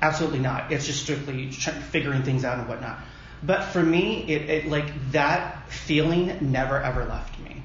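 Amid noticeable background noise and audible room echo, a fairly high-pitched man speaks at a moderate pace with fairly even intonation. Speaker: drag pageant titleholder. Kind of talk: casual chat. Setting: conference room. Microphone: echo in room.

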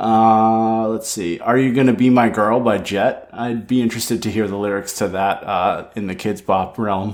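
A man speaks at a moderate pace in an American accent. His medium-pitched voice stays monotone and flat. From Italian American. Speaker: podcast co-host. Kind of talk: casual chat.

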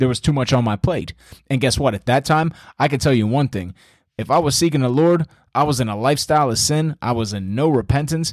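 The man's tone is animated and his pace fairly quick, with ordinary pitch variation. The recording is very clean and dry, close with no echo, over a silent background. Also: medium pitch for a man. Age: 30s. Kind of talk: casual faith talk / exhortation.

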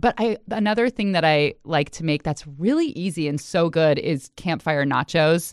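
A normal speaking voice from a woman with an American accent, fairly low-pitched with lively intonation, moderate in pace with hardly any pauses, dry and close with no echo over a quiet background. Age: 40s. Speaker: journalist. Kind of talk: casual interview chat.

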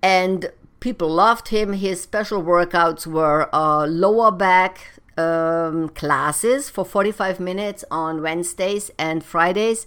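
Very slow speech in a German accent with hardly any pauses and ordinary pitch variation, on a very clean recording with a silent background. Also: woman, medium pitch for a woman. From Germany. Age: 50s. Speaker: personal trainer and podcast host. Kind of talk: solo advice monologue.

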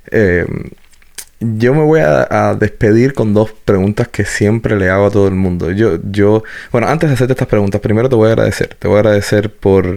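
This is an unremarkable speaking voice at a fairly quick pace. Its loudness stays very even, with ordinary pitch variation. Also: man, fairly low pitch for a man. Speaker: podcast host. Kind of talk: casual interview.

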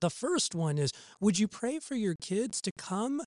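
A man talks at a very slow pace with a warm tone. His pitch swings very widely. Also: dry, close sound with no echo. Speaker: church parenting podcast host. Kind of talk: podcast Bible teaching; modeled fervent intercessory prayer spoken aloud as an example. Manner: warm, earnest, pleading tone while voicing the prayer; casual, upbeat and friendly.

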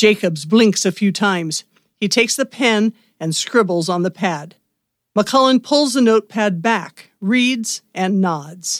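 In a plain, everyday voice with lively intonation, the speaker talks at a fairly slow pace, with a dry, close sound, no echo, and a very clean recording over a silent background. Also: woman, medium pitch for a woman. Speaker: radio theatre narrator and podcast host. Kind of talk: dramatic narration. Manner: theatrical, campy, vividly descriptive.

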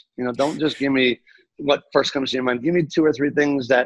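Recorded in a dry, close sound with no echo, a man speaks in an animated tone at a fairly high pitch. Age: 50s. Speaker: call center owner, telemarketing. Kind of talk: interview. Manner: animated, high energy.

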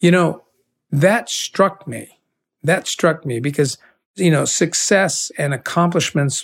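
A man speaks at a fairly slow pace with ordinary pitch variation in a plain, everyday voice, on a very clean recording with a silent background. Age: 60s. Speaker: podcast host and leadership speaker. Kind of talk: spoken bible commentary. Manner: earnest, conversational.

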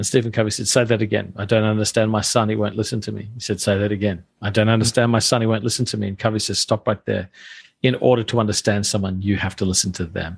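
A man with an Australian accent, fairly low pitch and a somewhat breathy voice, very fast pace and monotone, flat intonation, against a quiet background. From Australia (Adelaide). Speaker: pastor and author. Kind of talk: interview.

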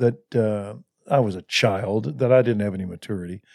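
With a Texan accent, a man speaks using ordinary pitch variation. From Texas (Waco). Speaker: pastor. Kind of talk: interview. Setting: studio.

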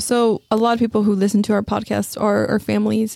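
A woman with an American accent talks at a very fast pace in a fairly high voice, her tone dark and mellow and the sound dry and close with no echo. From West Texas, Odessa. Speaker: podcast host, nonprofit development coordinator. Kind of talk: casual interview chat; event announcements.

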